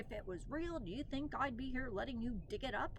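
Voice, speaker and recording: In a put-on character voice, a woman talks at a high pitch and a fairly quick pace against clear background noise. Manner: mean, sarcastic.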